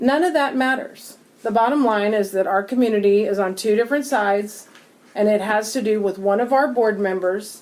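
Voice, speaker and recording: With an unremarkable speaking voice, a woman talks at a moderate pace and a fairly high pitch, her loudness very even and her pitch varying in an ordinary way. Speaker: city council member. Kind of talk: council meeting discussion. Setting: city hall council chamber.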